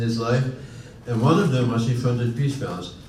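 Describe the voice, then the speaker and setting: Amid noticeable background noise and audible room echo, a man with a Dutch accent talks at a fairly quick pace in a medium pitch. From Netherlands, Utrecht. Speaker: honorary consul, panelist. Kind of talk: panel discussion. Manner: halting, many fillers and restarts.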